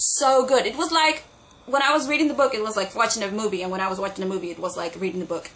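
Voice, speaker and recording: Over noticeable background noise, a woman with a non-native accent and a fairly high pitch speaks at a very fast pace in an animated tone with very wide pitch swings. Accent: own non-native. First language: not English. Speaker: booktuber. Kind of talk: casual vlog talk.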